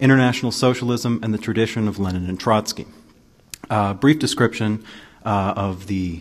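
The speaker is a man with a plain, everyday voice and a fairly low pitch. He keeps a moderate pace with ordinary pitch variation. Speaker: panel moderator. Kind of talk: event introduction. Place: hall.

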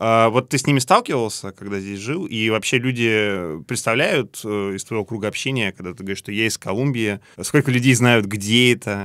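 A man with ordinary pitch variation speaks at a moderate pace, and the background is quiet. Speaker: podcast host. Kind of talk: interview, casual conversation. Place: studio.

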